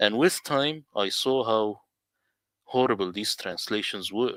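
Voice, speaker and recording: The recording is very clean with a silent background. A man with an Arabic accent talks at a fairly slow pace in a fairly low pitch. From Middle East. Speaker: Quran translator. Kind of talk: presentation.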